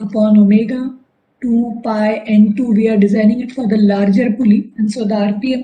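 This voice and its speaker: This woman's voice sits fairly high and has a dark, mellow, somewhat breathy tone. She talks at a moderate pace with monotone, flat intonation. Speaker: engineering lecturer. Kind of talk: lecture.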